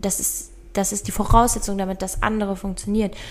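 With noticeable background noise behind her, a woman speaks at a medium pitch and moderate pace with fairly even intonation. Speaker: podcast co-host. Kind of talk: casual chat.

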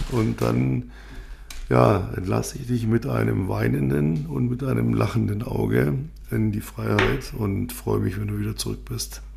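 Over noticeable background noise, a man talks in a very deep, low pitch with ordinary pitch variation. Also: fairly slow pace. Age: 50s. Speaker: podcast host, business coach. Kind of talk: casual chat. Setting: studio.

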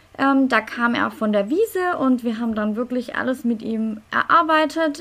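A woman speaks at a moderate pace in a normal speaking voice, her fairly high pitch showing ordinary variation. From Stuttgart, Germany. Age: 30s. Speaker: lawyer and dressage rider. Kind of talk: casual interview.

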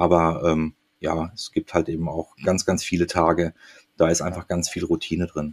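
The man's very deep, low pitch stays in a monotone, flat intonation at a moderate pace, with a dry, close sound and no echo. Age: 40s. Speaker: air rescue paramedic. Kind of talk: interview.

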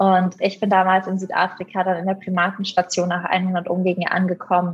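A woman at a medium pitch and a fairly quick pace, with noticeable background noise. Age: 20s. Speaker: primatologist and author. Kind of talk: interview.

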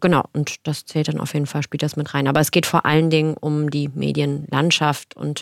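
A woman speaks at a moderate pace in a very deep, low voice with flat, monotone intonation. The recording is very clean with a silent background and a dry, close sound free of echo. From Germany, Cologne area and Eifel. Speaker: actress and diversity campaigner. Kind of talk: podcast interview.

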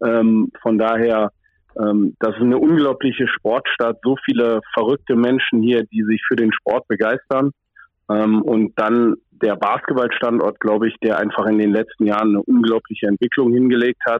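Moderate pace and very even loudness from a man in monotone, flat intonation. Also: medium pitch for a man. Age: 30s. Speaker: basketball coach. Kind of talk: interview.

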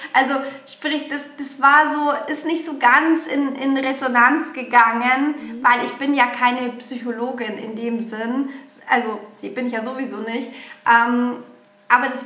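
A woman with a slight Bavarian accent uses a raised, projected voice at a high pitch, with fairly even intonation and audible room echo. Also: big swings in loudness. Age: 40s. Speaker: hairdresser turned mothers' coach. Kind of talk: interview.

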